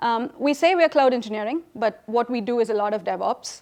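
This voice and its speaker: A woman's fairly high-pitched voice. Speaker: technology consultant. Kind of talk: conference talk. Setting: stage with audience. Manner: fast.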